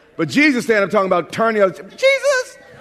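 With an American accent, a man speaks at a very fast pace in an animated tone over noticeable background noise. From New York. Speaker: pastor. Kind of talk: sermon.

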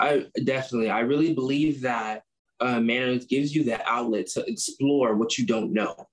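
A man with an American accent uses a normal speaking voice at medium pitch. He keeps a moderate pace, ordinary pitch variation and very even loudness. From US Midwest, Chicago. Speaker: agriculture student, club president. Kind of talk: interview. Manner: casual, many fillers.

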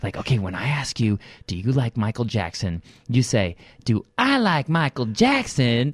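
Somewhat breathy and medium in pitch, a man with an American accent speaks at a moderate pace with lively intonation, in a dry, close sound with no echo on a very clean recording with a silent background. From Southern California suburbs. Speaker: comedian and parodist. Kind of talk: casual interview chat. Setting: studio.

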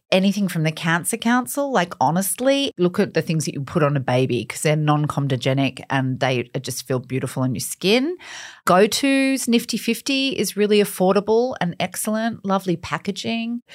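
A woman of medium pitch speaks at a fairly quick pace with hardly any pauses and very wide pitch swings, on a very clean recording with a silent background. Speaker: beauty author and expert. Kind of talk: interview, casual skin-care advice.

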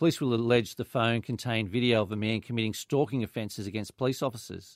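The speech moves at a very fast pace with fairly even intonation. The recording is very clean, with a silent background and a dry, close sound free of echo. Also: man. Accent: Australian. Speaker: police inspector. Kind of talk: police report on radio. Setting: radio studio.

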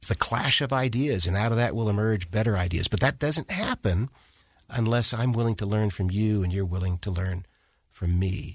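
Against a quiet background, a man with an American accent talks at a moderate pace in a somewhat breathy, fairly low voice with very even loudness. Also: ordinary pitch variation. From Washington, D.C. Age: 60s. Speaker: retired federal judge. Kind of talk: interview conversation.

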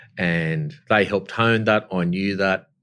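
On a very clean recording with a silent background, a man speaks in an Australian accent. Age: 50s. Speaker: company chief executive. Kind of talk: interview.

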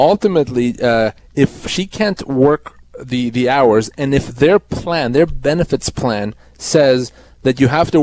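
A man has an ordinary speaking voice with a fairly high pitch and ordinary pitch variation. The sound is dry and close, with no echo. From Canada. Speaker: employment lawyer. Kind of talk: legal advice on call-in radio. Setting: radio studio.

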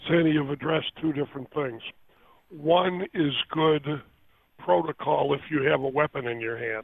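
At a moderate pace, a man with a normal speaking voice and fairly high pitch speaks with ordinary pitch variation. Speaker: police attorney. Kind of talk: phone interview. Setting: phone call.

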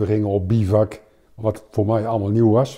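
A man speaks at a moderate pace with a dark, mellow tone. His fairly low pitch carries monotone, flat intonation. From Netherlands, Overijssel. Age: 60s. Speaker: retired army officer. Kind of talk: interview.

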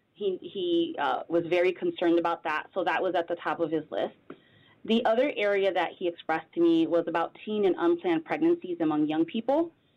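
With a normal speaking voice, a woman talks at a fairly quick pace in a fairly low pitch with ordinary pitch variation. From Connecticut, Bridgeport. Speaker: public health director. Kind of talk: radio interview.

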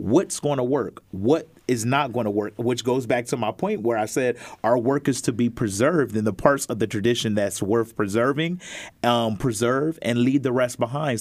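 In a plain, everyday voice, the speaker keeps a moderate pace with ordinary pitch variation. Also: man. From Pennsylvania (Harrisburg). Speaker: church elder. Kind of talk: panel discussion. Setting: studio.

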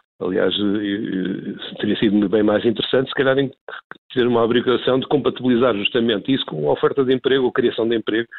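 At a very fast pace, a man talks at medium pitch with ordinary pitch variation and very even loudness. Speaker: former housing minister and politician. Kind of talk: radio interview. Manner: halting, many fillers.

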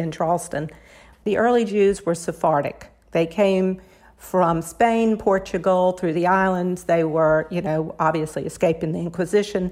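Her pitch fairly low and her intonation fairly even, a woman with an American accent speaks at a moderate pace in a plain, everyday voice. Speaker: cookbook author. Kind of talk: interview.

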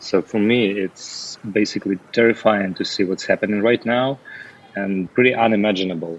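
A man with a fairly low pitch talks at a moderate pace with fairly even intonation. Noticeable background noise is present. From Ukraine, Odessa. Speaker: Odessa resident. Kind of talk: personal testimony.

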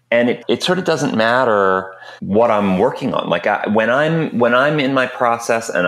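A man speaks slowly-ish, at a fairly slow pace with lively intonation, in a very clean recording with a silent background. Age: 40s. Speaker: film composer. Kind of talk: casual chat. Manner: halting.

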